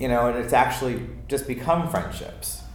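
Against noticeable background noise and audible room echo, a man with an American accent speaks with ordinary pitch variation. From Maryland, US. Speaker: theater dresser. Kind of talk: casual chat.

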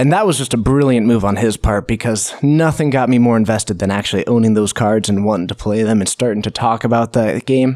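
In an ordinary speaking voice with an American accent, a man talks fairly quickly at medium pitch, with ordinary pitch variation. His loudness stays very even and he hardly pauses at all. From US Pacific Northwest (Snohomish, Washington). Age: 20s. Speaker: Magic commentator and streamer. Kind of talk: casual interview.

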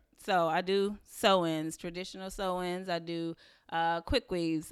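On a very clean recording with a silent background, a woman with a North Carolina accent speaks fairly slowly in a fairly low voice with ordinary pitch variation. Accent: Southern US, North Carolina. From Waxhaw, North Carolina. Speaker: hair salon owner. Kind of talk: casual chat.

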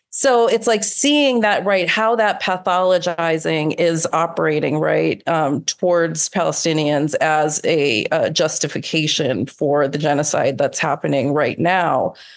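With lively intonation, a woman talks in a fairly low voice at a fairly slow pace with hardly any pauses, over noticeable background noise. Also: very even loudness. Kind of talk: interview conversation.

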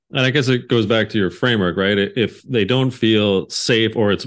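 A man speaks at a fairly quick pace in an ordinary speaking voice, fairly low in pitch, with a Canadian accent. His pitch varies in an ordinary way. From Canada. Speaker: podcast host. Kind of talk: interview.

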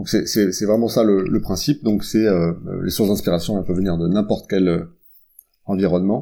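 A man talks at a moderate pace with a fairly low pitch. His tone is dark and mellow, with ordinary pitch variation. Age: 40s. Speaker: product executive and author. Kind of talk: interview. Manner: hesitant, many fillers.

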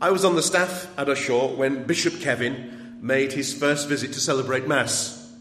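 At a moderate pace, a man speaks with hardly any pauses, very even loudness and ordinary pitch variation over noticeable background noise. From Sheffield, England. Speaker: archbishop giving lecture. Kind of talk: lecture. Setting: lecture hall with audience.

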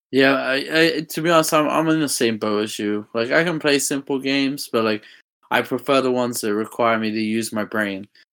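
On a very clean recording with a silent background, a man speaks. He has an English accent and ordinary pitch variation. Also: medium pitch for a man, fairly quick pace. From England. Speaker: podcast co-host. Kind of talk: casual chat.

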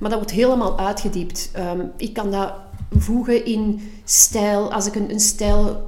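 The speaker talks with a Flemish accent. Audible room echo and noticeable background noise surround the voice. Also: woman. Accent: Flemish Dutch. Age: 40s. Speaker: podcast co-host. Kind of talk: casual chat.

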